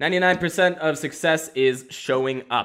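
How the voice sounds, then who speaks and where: Animated in tone, a man talks in a bright, sharp voice at a fairly high pitch with ordinary pitch variation. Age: 20s. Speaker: comedian and podcast host. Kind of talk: casual solo chat with stand-up bits. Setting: recorded on camera at home. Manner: fast; animated, laughing often.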